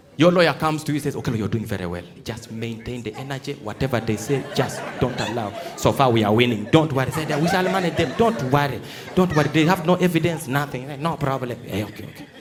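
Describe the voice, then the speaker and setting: A man at a very fast pace, animated in tone, with very wide pitch swings and crowd noise in the background. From Uganda. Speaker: stand-up comedian. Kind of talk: live stand-up comedy to a theatre audience. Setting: live theatre with audience. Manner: animated, storytelling.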